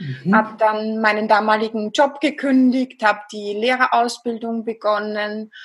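A woman speaks in a Viennese accent with a somewhat breathy voice. Her pace is fairly slow. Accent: Viennese Austrian. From Austria, Vienna. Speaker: psychologist and hypnotherapist. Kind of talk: interview.

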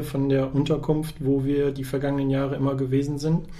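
A man's dark, mellow voice at a moderate pace, with audible room echo. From northern Germany, Osnabrück district. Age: 30s. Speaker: press officer and volunteer basketball organizer. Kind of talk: podcast interview.

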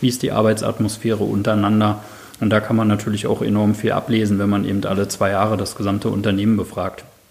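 A man with a fairly low pitch talks at a very fast pace in a monotone, flat intonation with very even loudness. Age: 30s. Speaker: occupational safety specialist. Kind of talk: interview. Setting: in person at workplace office.

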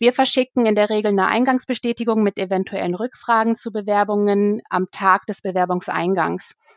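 A woman with an ordinary speaking voice and a fairly high pitch, at a moderate pace, in a dry, close sound with no echo. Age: 30s. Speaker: recruiter. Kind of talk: interview.

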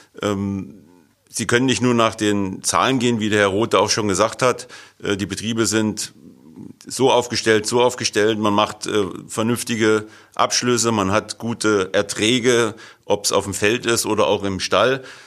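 Very slow isn't it; a man speaks at a fairly slow pace in a fairly low, flat and monotone voice, in a very clean recording with a silent background. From northern Hesse, Germany. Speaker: farmer. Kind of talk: casual interview.

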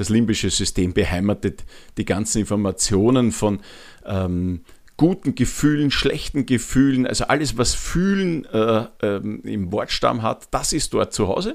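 A man's medium-pitched voice, fairly slow, with lively intonation. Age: 40s. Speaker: podcast host, change and habits coach. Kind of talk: solo podcast monologue. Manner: frequent filler hesitations.

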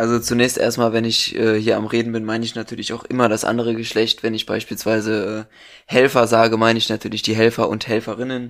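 On a very clean recording with a silent background, a man talks very fast at a medium pitch in a monotone, flat intonation. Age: 20s. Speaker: charity chairman. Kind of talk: casual chat. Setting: at home.

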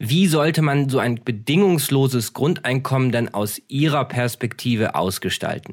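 A man with a medium-pitched, unremarkable speaking voice talks with hardly any pauses, ordinary pitch variation and very even loudness. The recording is very clean, with a silent background. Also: moderate pace. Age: 30s. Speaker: podcast host and author. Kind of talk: scripted narration; interview.

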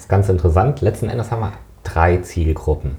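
The speaker moves at a fairly quick pace with lively intonation amid noticeable background noise. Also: man. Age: 40s. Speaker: fitness trainer and sports economist. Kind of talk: interview.

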